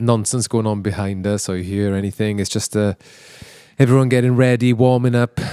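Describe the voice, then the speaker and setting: On a very clean recording with a silent background, a man speaks with a dark, mellow tone and a fairly low pitch. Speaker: podcast host and band founder. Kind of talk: casual chat. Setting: backstage before a gig. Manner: halting, many false starts.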